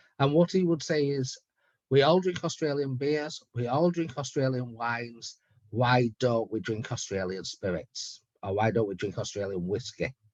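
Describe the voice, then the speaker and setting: This man speaks with a British accent at a moderate pace. His pitch is medium. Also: lively intonation. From UK. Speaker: head distiller. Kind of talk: virtual tasting talk.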